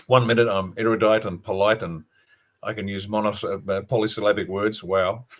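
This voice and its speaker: Monotone, flat intonation at a moderate pace, with an Australian accent, on a very clean recording over a silent background. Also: man. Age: 60s. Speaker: retired army officer and author. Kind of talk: interview on a livestream.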